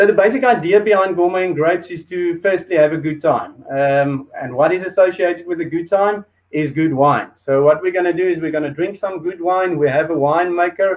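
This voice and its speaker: This man talks at a fairly quick pace with hardly any pauses. His pitch is high, with ordinary variation. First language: Afrikaans. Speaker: show host. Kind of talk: hosted food and wine show. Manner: hesitant, many fillers.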